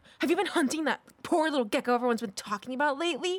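A put-on character voice growls at a very fast pace. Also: female-sounding voice, high pitch for a woman. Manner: growling.

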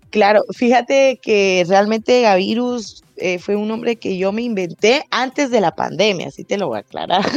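A woman with a Guatemalan accent at a moderate pace, with ordinary pitch variation, in a dry, close sound with no echo. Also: medium pitch for a woman, hardly any pauses. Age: 20s. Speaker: rapper and singer. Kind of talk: interview.

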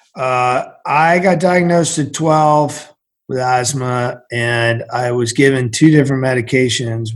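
This is a normal speaking voice from a man with an American accent. His pitch is medium, with ordinary pitch variation. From central Massachusetts. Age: 50s. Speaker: former Navy SEAL, entrepreneur and author. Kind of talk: interview.

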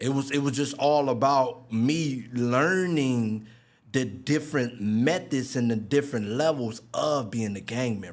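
A man with an American accent talks at medium pitch. His pace is fairly slow, with ordinary pitch variation. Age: 30s. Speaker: formerly incarcerated man. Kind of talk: interview testimony.

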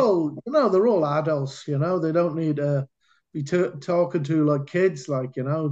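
Against a quiet background, someone with a Cardiff accent speaks at a moderate pace. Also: man. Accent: Welsh (Cardiff). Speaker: American football coach and former player. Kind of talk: casual interview storytelling.

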